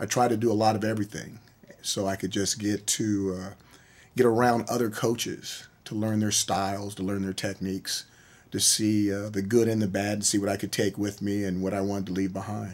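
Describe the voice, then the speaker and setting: A man speaks fairly quickly in a fairly low pitch with monotone, flat intonation. The recording is very clean, with a silent background. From US, military bases nationwide. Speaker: college football coach. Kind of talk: interview.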